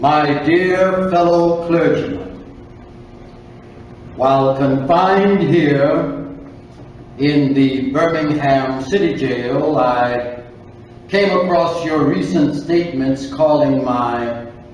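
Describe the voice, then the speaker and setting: Speaking at a very slow pace with long, frequent pauses, a man keeps his loudness very even. His pitch is fairly high with ordinary variation, and background noise is noticeable. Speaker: actor. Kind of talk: dramatic reading of a historic letter. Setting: live event. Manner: commanding.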